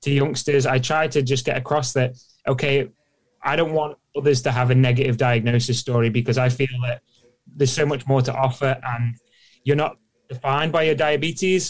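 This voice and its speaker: A man speaks at a medium pitch with very even loudness. His intonation stays fairly even, and his voice is somewhat breathy. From Isle of Man. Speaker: professional cyclist. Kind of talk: interview. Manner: fast.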